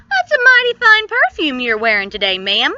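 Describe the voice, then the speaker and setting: Raised and projected, a woman's put-on character voice sits at an extremely high pitch with very wide pitch swings. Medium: read story. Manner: gallant, easygoing.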